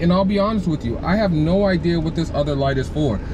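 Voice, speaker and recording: Noticeable background noise sits behind a man speaking at a very fast pace and a high pitch. His tone is animated, with ordinary pitch variation. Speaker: car vlogger. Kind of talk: car review walkthrough. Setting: in a car. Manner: casual, animated; loud.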